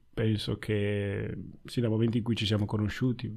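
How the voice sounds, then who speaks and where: This man has a plain, everyday voice, fairly low in pitch, and talks at a moderate pace. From Italy (born in Ghana). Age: 20s. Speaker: podcast guest, new father. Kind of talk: casual conversation. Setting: video call.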